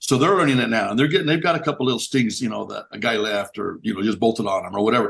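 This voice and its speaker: A man speaks at a medium pitch with lively intonation. His pace is very fast, with hardly any pauses. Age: 60s. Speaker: business owner in construction and horse racing. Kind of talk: podcast interview. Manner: halting, with many repetitions.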